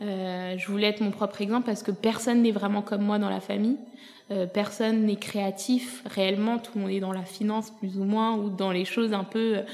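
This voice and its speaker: Over noticeable background noise, a woman talks at a moderate pace in a flat monotone. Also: medium pitch for a woman. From France. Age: 30s. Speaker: influencer. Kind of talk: casual chat.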